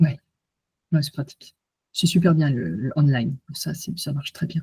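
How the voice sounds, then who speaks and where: In a dry, close recording with no echo, a woman with a very deep, low pitch speaks at a fairly slow pace, her somewhat breathy voice dark and mellow, with ordinary pitch variation. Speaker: hypnotherapist and coach. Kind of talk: online conference wrap-up after hypnosis. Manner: soft-spoken.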